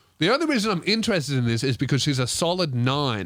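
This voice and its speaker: Very clean recording, silent background. A man with an Australian accent speaks in an animated tone with lively intonation. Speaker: comedian. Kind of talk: comedic advice podcast, reading listener letter.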